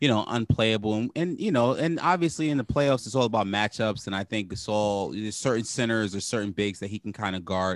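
A man speaks at a fairly quick pace with hardly any pauses, in a New York accent. His pitch is fairly low, and the sound is dry and close with no echo. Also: ordinary pitch variation, very clean recording, silent background. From Brooklyn, New York. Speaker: sports podcast co-host. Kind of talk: casual chat.

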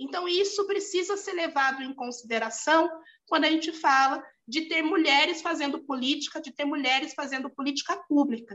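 Bright and sharp in tone, a woman's high voice moves at a moderate pace with ordinary pitch variation. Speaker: lawyer and municipal official. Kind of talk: interview. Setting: video call.

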